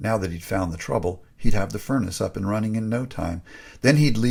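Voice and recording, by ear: Lively intonation runs through this clip of someone reading aloud in a natural voice.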